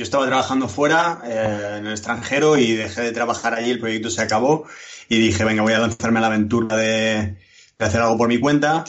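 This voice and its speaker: A man's voice over noticeable background noise. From Alicante, Spain. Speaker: game programmer and designer. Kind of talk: casual interview.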